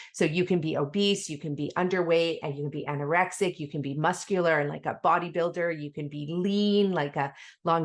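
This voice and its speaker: Against a quiet background, a woman with a plain, everyday voice talks at a fairly quick pace in a fairly low pitch with fairly even intonation. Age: 40s. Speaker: podcast host. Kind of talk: interview.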